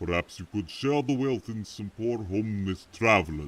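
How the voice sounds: Natural reading voice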